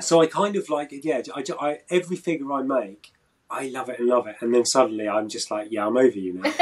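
Against a quiet background, a man talks fairly quickly with lively intonation and a British accent. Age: 50s. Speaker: action figure artist; interviewee. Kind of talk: casual chat. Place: workshop. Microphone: video call.

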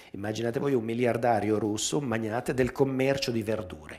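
This man's voice sits at a medium pitch with ordinary pitch variation. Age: 60s. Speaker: dance journalist and magazine editor; dance journalist. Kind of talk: public talk with video commentary. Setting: theatre with live audience. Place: hall. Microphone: headset.

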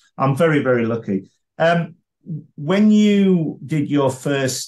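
In a quiet background, a man with a fairly high, somewhat breathy voice speaks with lively intonation. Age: 50s. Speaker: podcast host and comedy blogger; podcast host, comedy blogger. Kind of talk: interview. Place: home room. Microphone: video call.

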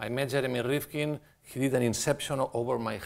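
Fairly slow speech from a man, with a quiet background. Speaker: guest architect lecturer. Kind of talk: lecture. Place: hall.

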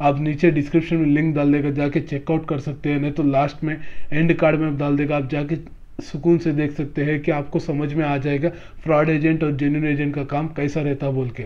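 A man with a fairly high pitch talks with few pauses and little pitch movement. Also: fairly quick pace.

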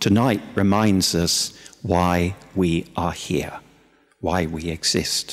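In a quiet background, a man with a very deep, low pitch and a gentle tone speaks at a very slow pace with fairly even intonation. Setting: church. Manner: gentle, unhurried and conversational, with frequent hesitations and repeated words; warm, plainspoken pastoral earnestness. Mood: warm, gently humorous. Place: church. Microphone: podium.

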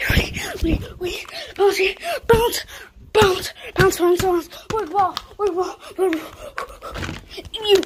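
A cartoonish character voice at an extremely high pitch crawls along at a very slow pace with long, frequent pauses. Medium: puppet.

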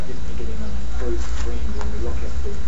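A man's voice over loud background noise. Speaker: council presenter. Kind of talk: presentation of monitoring data. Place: meeting room. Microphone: podium.

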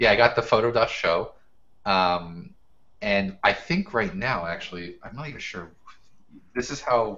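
A man with an American accent speaks at a fairly slow pace, using lively intonation, big swings in loudness, and long, frequent pauses. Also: medium pitch for a man. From US Northeast, Brooklyn, New York; New York. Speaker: professional photographer and educator; podcast guest. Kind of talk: casual interview. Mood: relaxed, chatty. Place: home room. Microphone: video call.

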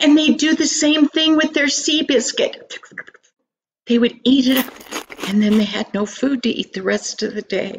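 Amid light background noise, a woman with a high pitch speaks at a moderate pace with ordinary pitch variation. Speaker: storyteller. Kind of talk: storytelling. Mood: earnest, expressive. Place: home room. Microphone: webcam.

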